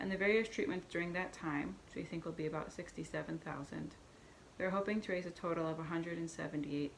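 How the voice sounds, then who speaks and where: A woman, fairly low in pitch, talking at a very fast pace with ordinary pitch variation. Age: 30s. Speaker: person sharing health story. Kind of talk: reading aloud. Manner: halting.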